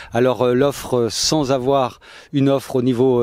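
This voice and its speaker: A man talks with a dark, mellow tone. His pitch is medium and his pace moderate. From Brittany, Finistère. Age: 60s. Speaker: political candidate. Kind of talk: interview. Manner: halting, many fillers.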